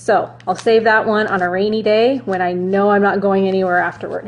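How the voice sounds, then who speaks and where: Ordinary pitch variation runs through a plain, everyday voice. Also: woman. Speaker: runner reviewing gear. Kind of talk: product review vlog. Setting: Facebook Live video. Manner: casual, chatty.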